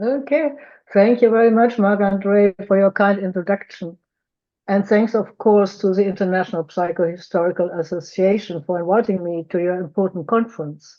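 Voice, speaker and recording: A woman's medium-pitched voice in a strong German accent, at a moderate pace, with ordinary pitch variation. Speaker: psychotherapist. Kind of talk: conference lecture. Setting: video call.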